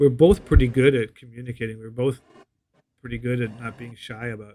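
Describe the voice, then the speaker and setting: A man's dark, mellow tone at medium pitch, a fairly quick pace, fairly even intonation and big swings in loudness. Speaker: podcast co-host planning a show. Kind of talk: casual chat. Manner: halting, many repeated words.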